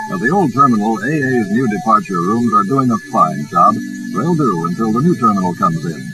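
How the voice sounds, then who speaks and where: Over background music, a man with a medium-pitched voice speaks at a fairly quick pace, his pitch swinging very widely. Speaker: newsreel narrator. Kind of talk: vintage newsreel narration. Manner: upbeat.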